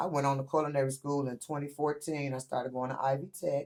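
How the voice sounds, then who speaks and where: The speaker has an American accent and a fairly quick pace. The intonation stays fairly even. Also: woman. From Michigan, Flint. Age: 50s. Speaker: chef, small business owner. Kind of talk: casual interview chat.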